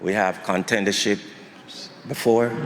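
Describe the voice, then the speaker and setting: A man at a fairly slow pace, with ordinary pitch variation and noticeable background noise. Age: 70s. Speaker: boxing trainer and father of fighter. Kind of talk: press conference speech.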